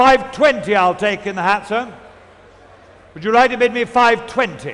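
With a British accent and a theatrical tone, a man speaks at an extremely high pitch, his loudness swinging widely between long, frequent pauses. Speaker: auctioneer. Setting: stage with audience. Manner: brisk, insistent patter, repeating figures and pressing bidders; theatrical and showmanlike, coaxing bidders with teasing asides.

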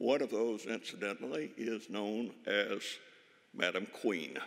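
A man speaks at a very slow pace. His pitch varies in an ordinary way against a quiet background. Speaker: speaker. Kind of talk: speech. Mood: warm, anecdotal tribute. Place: hall. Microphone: podium.

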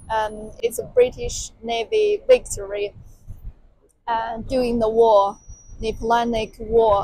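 Very slowly, a woman speaks in a dry sound with no echo, over light background noise. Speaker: travel vlogger. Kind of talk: casual vlog chat. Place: street. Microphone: lapel.

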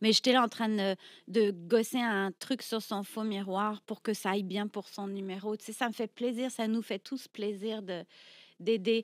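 The woman's pitch is fairly high, her intonation monotone and flat, her pace fairly slow. The background is quiet, and the sound is dry with no echo. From France, Brittany. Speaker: burlesque performer; podcast guest. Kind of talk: casual interview. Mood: reflective storytelling. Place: studio. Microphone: studio mic.

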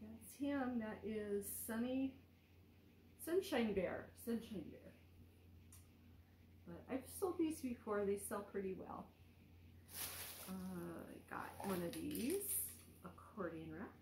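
A woman speaks at a very slow pace with long, frequent pauses and big swings in loudness. Audible room echo and light background noise surround her voice. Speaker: thrift reseller vlogger. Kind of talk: casual vlog chat. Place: home room. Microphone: phone near.

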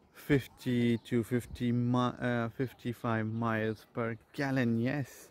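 A man talks in a monotone with flat intonation. The sound is dry with no echo. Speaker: traveler vlogger. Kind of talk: casual vlog chat. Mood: delighted, impressed. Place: garden. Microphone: phone near.

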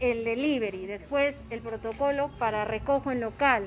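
Light background noise sits under a voice with ordinary pitch variation. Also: woman. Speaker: food vlogger. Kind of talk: casual vlog narration. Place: street. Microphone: phone near.

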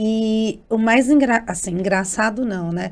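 Very slowly, a woman speaks with a fairly high pitch and ordinary pitch variation, on a very clean recording with a silent background. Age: 40s. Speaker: journalist and diabetes advocate. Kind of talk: interview.

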